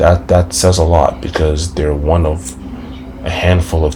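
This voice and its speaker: Amid noticeable background noise, a man with a very deep, low voice talks at a moderate pace with ordinary pitch variation. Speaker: sports podcaster. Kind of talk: casual sports commentary.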